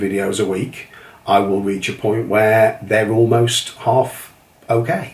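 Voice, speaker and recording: An English accent with fairly even intonation, a fairly slow pace and noticeable background noise. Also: man. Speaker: entrepreneur, leather notebook maker. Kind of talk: casual talk to camera. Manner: hesitant, many fillers.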